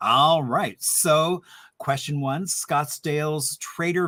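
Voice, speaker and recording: A man with an Indiana accent speaks at a very slow pace and a high pitch. The sound is dry and close, with no echo. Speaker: historian hosting a trivia happy hour. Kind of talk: casual quiz hosting. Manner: animated.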